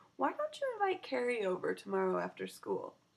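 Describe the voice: A woman's put-on character voice with very wide pitch swings, vocal fry, a slightly husky edge and a fairly quick pace. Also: medium pitch for a woman.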